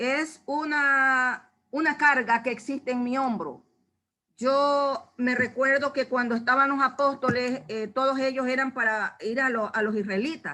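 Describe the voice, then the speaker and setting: A woman's raised, projected voice, high-pitched with a bright, sharp tone, fairly even intonation and a fairly slow pace. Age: 70s. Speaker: church member giving Bible study. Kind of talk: Bible study talk.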